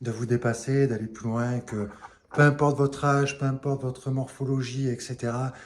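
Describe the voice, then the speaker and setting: Here a man of medium pitch speaks at a moderate pace in a monotone, flat intonation. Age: 40s. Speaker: fitness youtuber. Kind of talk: casual vlog tutorial. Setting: outdoors on terrace. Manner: soft-spoken.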